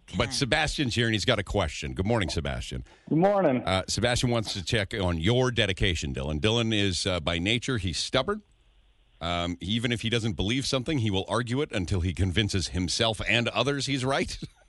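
A man's fairly low voice with vocal fry, lively in intonation, at a fairly quick pace against a quiet background. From Edmonton, Canada. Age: 40s. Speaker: radio host. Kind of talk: morning radio chat. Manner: animated.

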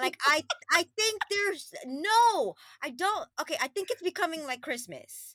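In a dry, close sound with no echo, a woman uses a raised, projected voice at an extremely high pitch, animated, bright and sharp in tone, with very wide pitch swings at a fairly slow pace. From Queens, New York (born in Trinidad and Tobago). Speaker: lifestyle coach. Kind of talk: casual chat.

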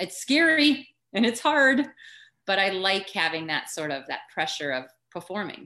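Against a quiet background, a bright, sharp voice with an American accent swings very widely in pitch. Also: woman, medium pitch for a woman, moderate pace. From rural Minnesota, US Upper Midwest. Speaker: former elite runner and running coach. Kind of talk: casual interview chat.

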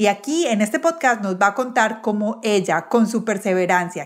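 With an ordinary speaking voice, a woman talks at medium pitch and a moderate pace with ordinary pitch variation. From Colombia, Medellín. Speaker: podcast host. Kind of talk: interview conversation; scripted intro. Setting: video call.

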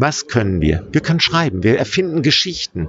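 A man's voice makes very wide pitch swings. Noticeable background noise is present. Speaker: writer and activist. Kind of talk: interview. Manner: enthusiastic.

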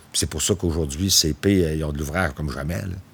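Male speech at a moderate pace, pitch varying in an ordinary way, with noticeable noise behind. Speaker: railway foreman. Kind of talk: documentary interview.

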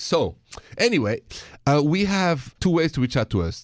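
Recorded very cleanly against a silent background, a man with a French accent talks at a moderate pace, his pitch swinging very widely in a dry, close sound with no echo. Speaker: radio host. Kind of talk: casual chat.

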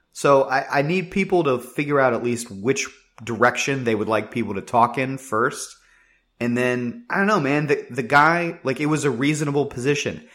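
In a very clean recording with a silent background, a man talks in an ordinary speaking voice at a moderate pace with ordinary pitch variation. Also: medium pitch for a man. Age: 20s. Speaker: sports podcast co-host. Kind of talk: casual chat.

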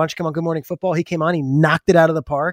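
On a very clean, dry, close recording with a silent background and no echo, a man talks very fast in a fairly high, monotone, flat voice. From New Jersey. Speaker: football TV analyst. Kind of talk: casual chat.

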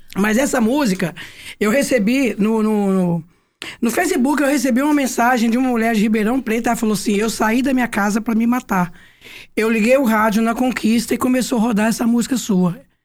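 At a fairly quick pace, a woman speaks in an ordinary speaking voice with ordinary pitch variation. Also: fairly high pitch for a woman. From Goiás, Brazil (Goiânia). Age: 60s. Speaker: songwriter and singer. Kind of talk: casual interview chat.

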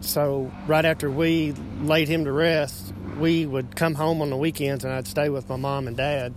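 A man's fairly high-pitched voice at a moderate pace, over noticeable background noise. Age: 30s. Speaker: listener. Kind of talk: personal story in a voice message.

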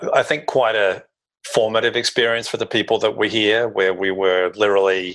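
A man speaks with an Australian accent. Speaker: consultant. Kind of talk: interview conversation.

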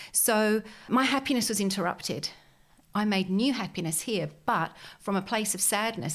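This woman has an ordinary speaking voice and talks at a moderate pace. Her pitch variation is ordinary. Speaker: business mentor for entrepreneurs. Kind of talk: casual interview.

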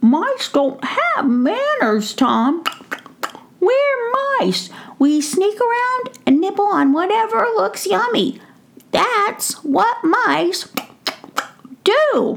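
Using a squeaky, extremely high put-on character voice, a woman speaks very slowly with very wide pitch swings and long, frequent pauses. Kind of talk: bedtime story. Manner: cheeky, greedy, playful.

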